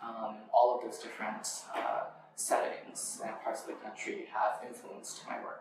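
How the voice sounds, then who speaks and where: Amid audible room echo, a man with an American accent speaks at a fairly slow pace, his loudness swinging widely. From Western Massachusetts, Amherst. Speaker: poet. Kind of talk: interview. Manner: hesitant with frequent fillers.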